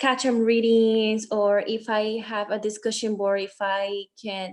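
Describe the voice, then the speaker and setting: With a non-native accent, a woman talks in a fairly high pitch. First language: not English. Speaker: student legislator. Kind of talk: casual chat.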